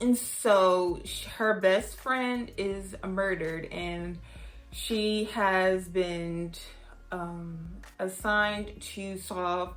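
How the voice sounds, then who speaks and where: A woman speaks at a very slow pace with an American accent and a medium pitch. Music plays in the background, and room echo is audible. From US South, Houston, Texas. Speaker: book reviewer. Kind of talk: casual vlog review.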